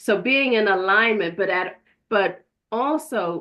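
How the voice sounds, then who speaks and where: Vocal fry runs through speech whose pitch varies in an ordinary way. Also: woman. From Jamaica. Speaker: podcast host, holistic practitioner. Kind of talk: casual interview chat.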